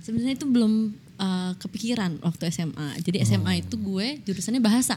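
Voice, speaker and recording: At a fairly quick pace and with hardly any pauses, a woman talks in a medium pitch with a dark, mellow, somewhat breathy tone and lively intonation. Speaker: Korean literature student. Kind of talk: casual chat.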